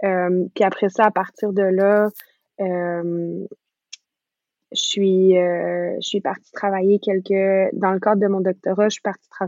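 A woman speaks in an ordinary speaking voice at a medium pitch. Her intonation stays fairly even. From western Canada. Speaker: doctoral researcher in speech-language pathology. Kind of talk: interview.

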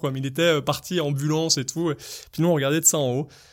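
A man speaks at a very fast pace in a fairly high voice with fairly even intonation. The recording is very clean, with a silent background. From French Alps, Savoie. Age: 30s. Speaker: freestyle skier. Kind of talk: personal storytelling interview. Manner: hesitant with many fillers.

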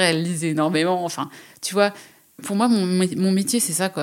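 The recording is very clean with a silent background. A woman speaks at a fairly slow pace in a fairly low voice with ordinary pitch variation. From rural France. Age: 40s. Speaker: freelance writer and artist. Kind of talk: interview. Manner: hesitant, many fillers.

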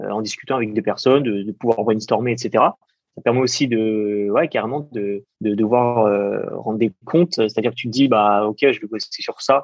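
A man's medium-pitched voice at a moderate pace, fairly even in intonation, with hardly any pauses. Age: 20s. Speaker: app developer and entrepreneur. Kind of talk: interview. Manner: hesitant, many fillers.

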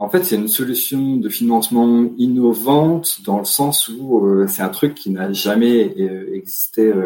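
The man's pitch sits at a medium level, with lively intonation. He talks at a very slow pace. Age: 30s. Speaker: investment fund director. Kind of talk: interview. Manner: halting.

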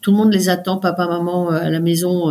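A woman with a normal speaking voice and a fairly low pitch talks at a fairly quick pace. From France, Paris. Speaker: mountaineer and doctor. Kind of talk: interview. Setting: remote recording.

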